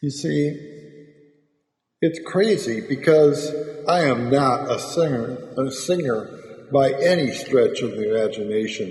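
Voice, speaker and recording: Audible room echo surrounds a man whose lively intonation is broken by long, frequent pauses. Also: fairly high pitch for a man. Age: 70s. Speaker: amateur video maker and stroke survivor. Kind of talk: personal monologue. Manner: slurred speech after stroke; halting, with fillers.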